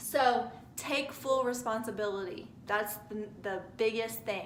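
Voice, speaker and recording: Her fairly high woman's voice moves at a fairly slow pace. The room echo is audible, and background noise is noticeable. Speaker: spiritual self-help vlogger. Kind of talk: motivational talk to camera. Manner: stuttering today; casual, frequent okay fillers.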